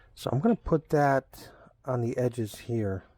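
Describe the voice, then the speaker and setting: A man talks at medium pitch with a Long Island accent. The recording is very clean, with a silent background. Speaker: craftsman / DIY maker. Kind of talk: workshop tutorial narration. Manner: casual, halting with repetitions.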